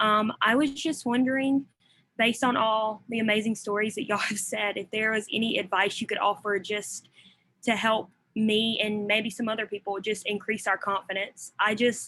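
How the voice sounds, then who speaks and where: With a Southern US accent, a woman's fairly high, bright, sharp voice holds a fairly even intonation. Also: moderate pace. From US South. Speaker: college student. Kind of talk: audience question.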